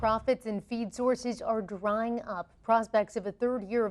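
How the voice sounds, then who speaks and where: Speaking fairly slowly, a woman uses an unremarkable speaking voice that sits fairly high in pitch. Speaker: news anchor. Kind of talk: TV news read.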